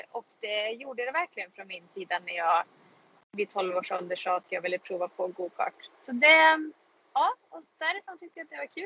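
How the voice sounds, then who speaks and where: Her fairly high pitch moves in very wide swings as this woman speaks. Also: moderate pace, big swings in loudness. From Sweden, Karlstad (Värmland). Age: 20s. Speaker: racing driver. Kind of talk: casual interview. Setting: in a car.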